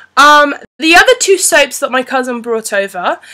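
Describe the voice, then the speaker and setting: The speaker is a woman with a high-pitched voice. She talks at a moderate pace. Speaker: beauty and fashion vlogger. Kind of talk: unscripted product review. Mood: friendly, chatty. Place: home room. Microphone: webcam.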